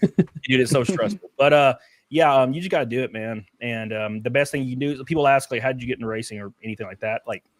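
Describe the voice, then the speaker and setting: A man talks at a very fast clip, his pitch moving in ordinary ways while his loudness swings widely. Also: medium pitch for a man, dry, close sound with no echo. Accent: Southern US. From Alabama, US South. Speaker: race car driver. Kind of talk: casual chat.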